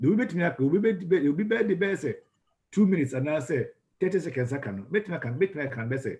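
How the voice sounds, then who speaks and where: A somewhat breathy man talks at a fairly quick pace with lively intonation. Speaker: ministry school lecturer. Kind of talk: lecture. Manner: fast.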